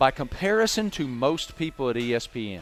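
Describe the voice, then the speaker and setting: A man with a Southern US accent and very wide pitch swings. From Virginia, US South. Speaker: sports reporter. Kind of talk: casual interview chat.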